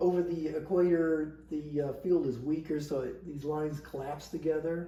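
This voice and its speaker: A man's fairly high, somewhat breathy voice with a dark, mellow tone and fairly even intonation. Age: 60s. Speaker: scientist working on satellite instrument data. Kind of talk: casual talk to camera.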